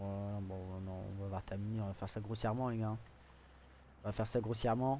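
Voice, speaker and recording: A soft-spoken man, fairly low in pitch with a dark, mellow tone, monotone and flat, at a fairly quick pace with long, frequent pauses. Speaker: gaming video creator. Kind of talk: gameplay commentary. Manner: hesitant, many fillers.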